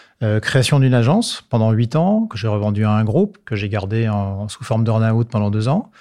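A man's medium-pitched, a normal speaking voice at a moderate pace, in a very clean recording with a silent background. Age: 50s. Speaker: marketing director. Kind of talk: interview.

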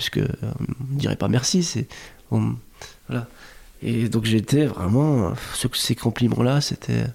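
A man speaks at a very slow pace. Long pauses come often. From Lebanese heritage. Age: 40s. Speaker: digital artist. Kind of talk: casual chat. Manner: slow, reflective; halting with repetitions.

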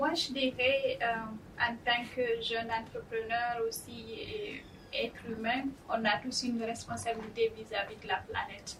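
A woman with a plain, everyday voice speaks fairly slowly in a fairly high pitch with ordinary pitch variation. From Guinea, West Africa. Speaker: startup founder. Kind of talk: panel discussion. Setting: studio.

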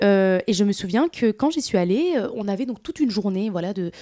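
In a very clean recording with a silent background and a dry, close sound free of echo, a woman with a medium pitch and a dark, mellow tone speaks at a fairly slow pace with lively intonation. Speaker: content creator and influencer. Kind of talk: casual interview.

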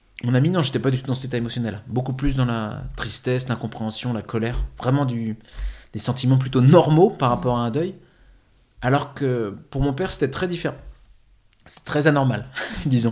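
In a very clean recording with a silent background, a man speaks at a medium pitch and a moderate pace, somewhat breathy, with ordinary pitch variation and long, frequent pauses. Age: 30s. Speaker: actor and life coach. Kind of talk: testimony.

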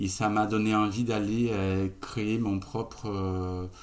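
A man's fairly low voice in monotone, flat intonation, with audible room echo. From Brazil. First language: Portuguese (speaking French). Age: 30s. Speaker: co-founder of an ethical e-commerce platform. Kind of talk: casual interview.

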